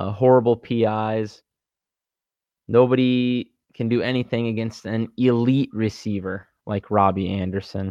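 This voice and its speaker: This man has a normal speaking voice, pitched in the medium range, with fairly even intonation and a moderate pace. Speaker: sports betting podcast co-host. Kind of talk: casual chat.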